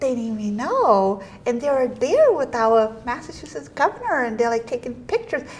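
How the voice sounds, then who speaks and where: Noticeable background noise runs under a high-pitched woman who speaks at a moderate pace with lively intonation. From Portuguese-speaking country, immigrated to US. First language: Portuguese. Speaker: state representative and podcast host. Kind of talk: casual podcast chat. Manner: animated.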